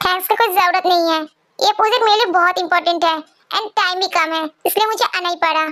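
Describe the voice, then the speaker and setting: A woman puts on a character voice with a Mexican-free, extremely high pitch. She talks at a very fast pace. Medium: read story. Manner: cold, self-assured.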